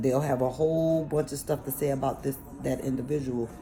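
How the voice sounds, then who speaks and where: A woman speaks at a moderate pace with music in the background. Her pitch is very deep and low, and her tone is animated. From New York City (Bronx and Harlem). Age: 40s. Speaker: vlogger. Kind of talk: casual monologue.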